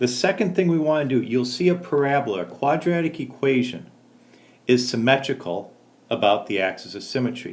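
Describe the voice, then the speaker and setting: A man with an ordinary speaking voice talks at medium pitch and a fairly quick pace, his intonation lively. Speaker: math teacher. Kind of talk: tutorial.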